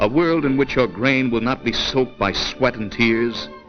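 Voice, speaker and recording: A man talks at a moderate pace with lively intonation while music plays in the background. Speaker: narrator. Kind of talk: documentary propaganda film narration.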